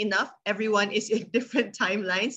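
A bright, sharp tone marks this woman's speech. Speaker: event moderator. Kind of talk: event introduction. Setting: video call. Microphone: video call.

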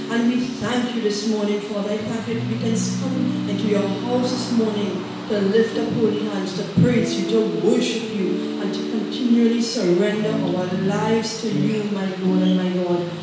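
A woman at a moderate pace, with loud background noise and audible room echo. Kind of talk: opening prayer. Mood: fervent, reverent. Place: church.

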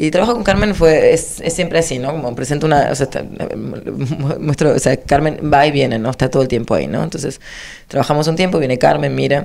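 A woman with a very deep, low pitch and vocal fry moves at a fairly quick pace with ordinary pitch variation. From Argentina. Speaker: choreographer; interviewee. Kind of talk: interview. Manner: halting, many restarts. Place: studio. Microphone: handheld.

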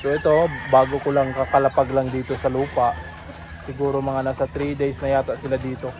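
Over noticeable background noise, a man talks at a fairly high pitch. His pace is moderate and his intonation monotone and flat. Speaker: farmer vlogger. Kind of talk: casual vlog tour. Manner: casual, with frequent fillers.

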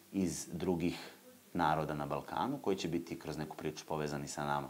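With fairly even intonation, a man delivers his words at a fairly quick pace. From southern Serbia, Leskovac; southern Serbia. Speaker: folk dance ensemble artistic director; guest. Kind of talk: casual interview. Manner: halting. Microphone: lapel.

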